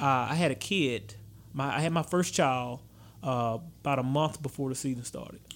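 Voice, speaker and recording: A man with a Louisiana accent, medium pitch, ordinary pitch variation and a moderate pace. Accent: Louisiana Southern US. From Baton Rouge, Louisiana. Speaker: high school football coach. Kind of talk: casual interview. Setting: studio.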